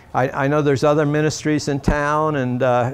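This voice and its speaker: A man speaks with a North Carolina accent. His moderate pace carries a monotone, flat intonation. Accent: Southern US (North Carolina). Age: 70s. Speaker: local business owner. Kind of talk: interview. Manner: halting, many fillers and repeats.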